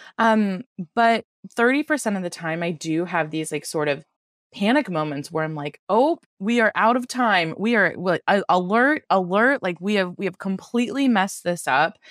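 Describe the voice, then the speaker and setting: A woman with a plain, everyday voice talks at a moderate pace and medium pitch. Her intonation is lively, and the sound is dry and close with no echo. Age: 30s. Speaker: veterinary specialist. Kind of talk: casual chat. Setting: remote call.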